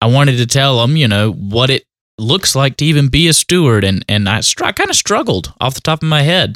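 A man with a Southern US accent speaks at a moderate pace with lively intonation and very even loudness, in a dry, close sound with no echo on a very clean recording with a silent background. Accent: Southern US, noticeable country. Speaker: union shop steward. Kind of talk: tutorial. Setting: pre-recorded episode.

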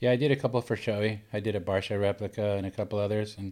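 A man with a fairly low pitch and an American accent at a fairly quick pace. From Southern California, Laguna Beach. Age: 60s. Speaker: helmet painter, former pro surfer. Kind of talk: casual interview.

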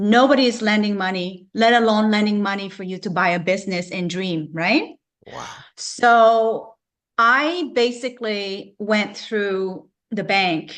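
A woman speaks in a normal speaking voice at medium pitch, with ordinary pitch variation and big swings in loudness. Her pace is fairly slow, against a quiet background. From Canada, Vancouver. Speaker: natural medicine practitioner and business owner. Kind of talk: interview.

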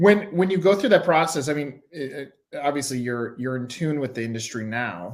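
The intonation here is lively. It is a normal speaking voice delivered at a moderate speed. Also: man, fairly high pitch for a man. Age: 40s. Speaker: podcast host. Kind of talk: interview.

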